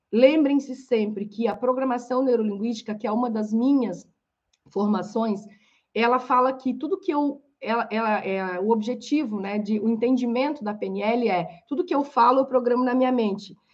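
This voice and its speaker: This woman's voice sits fairly high in pitch and has ordinary pitch variation. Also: moderate pace. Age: 40s. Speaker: coach and podcast host. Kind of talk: live-stream lecture. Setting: live stream on Instagram and YouTube. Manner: animated.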